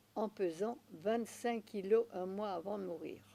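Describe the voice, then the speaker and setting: Very slowly, a woman speaks at a medium pitch in a dark, mellow tone with ordinary pitch variation. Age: 90s. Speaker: naturopath. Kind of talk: interview. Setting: at her home.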